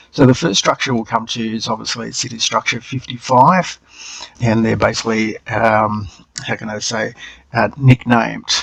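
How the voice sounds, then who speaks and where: This man speaks with an Australian accent. His intonation stays fairly even. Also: medium pitch for a man, moderate pace. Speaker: channel co-host. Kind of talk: screen-share tutorial. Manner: hesitant, with many fillers.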